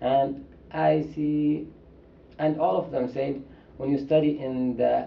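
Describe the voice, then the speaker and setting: With a Saudi accent, a man speaks very slowly in a fairly high pitch and fairly even intonation, leaving long, frequent pauses amid audible room echo. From Saudi Arabia. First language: Arabic. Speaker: international student. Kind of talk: interview.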